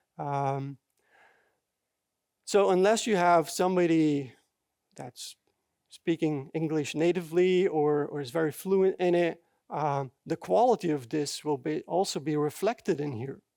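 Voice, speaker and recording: A man with a non-native accent and a dark, mellow tone speaks fairly slowly at a fairly high pitch, with long, frequent pauses, on a very clean recording with a silent background and a dry, close sound with no echo. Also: ordinary pitch variation. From Belgium. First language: not English. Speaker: software developer, conference speaker. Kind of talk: conference talk. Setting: stage with audience. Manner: halting, many fillers.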